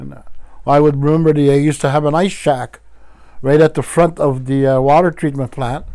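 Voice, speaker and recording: A man's fairly high, dark and mellow voice, flat and monotone, at a fairly quick pace. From Wiikwemkoong, Manitoulin Island, Ontario, Canada. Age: 60s. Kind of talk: teaching talk.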